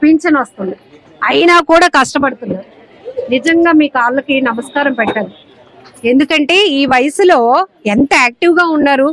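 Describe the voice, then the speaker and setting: Crowd noise fills the background as a woman speaks. Her voice is high-pitched, with lively intonation. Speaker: interviewer. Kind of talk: casual interview talk.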